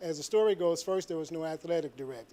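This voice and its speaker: A man speaks with a St. Louis accent at a fairly quick pace. His fairly high voice has a dark, mellow tone and ordinary pitch variation. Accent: Midwestern American, St. Louis. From St. Louis, Missouri. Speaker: public commenter, military veteran. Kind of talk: public comment at board meeting. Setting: public meeting room.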